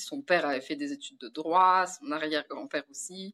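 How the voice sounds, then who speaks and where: Recorded with a dry, close sound and no echo, a woman speaks at a moderate pace with a fairly low pitch, ordinary pitch variation and a bright, sharp tone. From France. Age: 30s. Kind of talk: interview.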